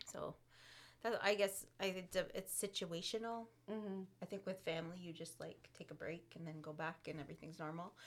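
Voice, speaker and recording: The speaker has a normal speaking voice, with fairly even intonation and a fairly quick pace. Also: woman, fairly low pitch for a woman. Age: 40s. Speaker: podcast co-host. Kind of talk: casual chat.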